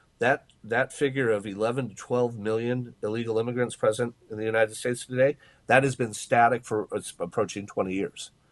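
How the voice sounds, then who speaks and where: The speaker uses fairly even intonation with an American accent. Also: man, medium pitch for a man, fairly quick pace, hardly any pauses. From California. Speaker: journalist and author. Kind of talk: interview answer.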